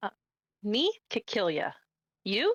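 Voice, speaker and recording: A put-on character voice comes through at a fairly high pitch. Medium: actual play. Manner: broken simple grammar, short questions.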